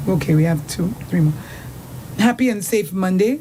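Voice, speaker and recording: This woman talks at a moderate pace in a fairly low pitch with lively intonation. Noticeable background noise runs underneath. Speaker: radio host. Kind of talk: reading listener messages on live radio.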